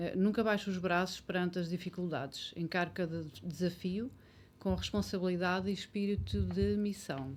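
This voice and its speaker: The pace is moderate in a normal speaking voice. Pitch rises and falls in an ordinary way. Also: woman, fairly low pitch for a woman. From Portugal, Ferreira do Zêzere area. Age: 50s. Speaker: local election candidate. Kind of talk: election debate.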